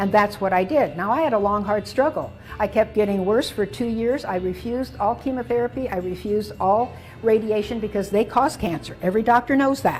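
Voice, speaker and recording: A woman talks at a fairly quick pace with a fairly high pitch and ordinary pitch variation. Music plays in the background. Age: 80s+. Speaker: physician and health speaker. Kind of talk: interview.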